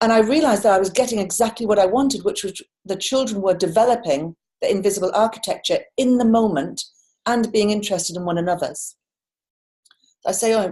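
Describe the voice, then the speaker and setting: A woman with a British accent speaks at a fairly high pitch, her dark, mellow tone somewhat breathy and her pitch varying in an ordinary way. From United Kingdom. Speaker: coach and culture change facilitator. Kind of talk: conference talk. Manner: fast; animated.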